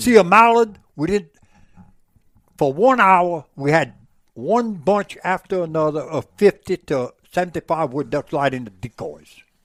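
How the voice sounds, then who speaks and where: In a dry, close recording with no echo, a man speaks fairly slowly in a high, animated voice with lively intonation. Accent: Louisiana. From Louisiana, Avoyelles Parish. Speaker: former market hunter. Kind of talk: podcast interview answer. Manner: animated storytelling.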